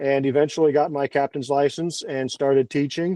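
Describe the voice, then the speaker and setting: A man talks at a fairly quick pace in a fairly high pitch. It is an ordinary speaking voice. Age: 40s. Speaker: sailing instructor and sailing school owner. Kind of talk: interview storytelling. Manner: casual, with false starts.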